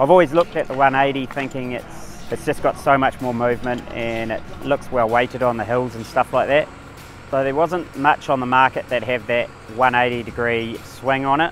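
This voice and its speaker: With music in the background, a man speaks with fairly even intonation in a dry sound with no echo. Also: moderate pace. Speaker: fencing contractor. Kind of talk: interview answer. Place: farm machine.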